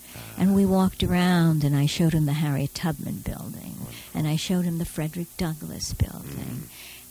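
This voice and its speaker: In an American accent, a woman with a very deep, low pitch speaks with hardly any pauses, her dark, mellow tone somewhat breathy and her intonation fairly even. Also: fairly quick pace. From Brooklyn, New York (Borough Park). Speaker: retired theater professor and acting coach. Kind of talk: casual interview.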